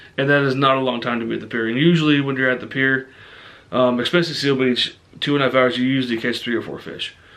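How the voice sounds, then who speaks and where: Over noticeable background noise, a man talks at a very fast pace. His medium-pitched voice is monotone, with flat intonation. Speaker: fishing vlogger. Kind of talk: casual vlog talk to camera. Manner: many fillers (um, uh).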